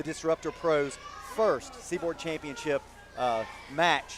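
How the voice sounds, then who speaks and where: Noticeable background noise surrounds the speaker. He is a man with a fairly high pitch. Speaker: wrestling commentator. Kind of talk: live pro wrestling commentary.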